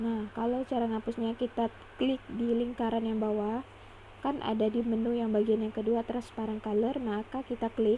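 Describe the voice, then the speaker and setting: Talking at a moderate pace, a woman with a fairly high pitch uses a dark, mellow tone and a monotone, flat intonation. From Indonesia, Pontianak (West Kalimantan). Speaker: drawing tutorial creator. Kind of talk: tutorial. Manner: halting.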